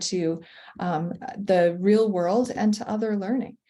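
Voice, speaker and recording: The speaker has a Canadian accent and a dark, mellow tone. The delivery is fairly slow and somewhat breathy. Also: woman. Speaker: professional learning designer for teachers. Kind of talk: webinar presentation.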